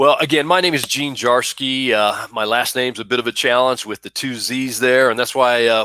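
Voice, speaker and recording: A man with a slight Texas accent, medium pitch, a bright, sharp tone and fairly even intonation in a dry, close sound with no echo. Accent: slight Southern, Texas drawl. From Buffalo, New York. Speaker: university vice president for student affairs. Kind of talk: live-streamed interview. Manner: hesitant, many fillers.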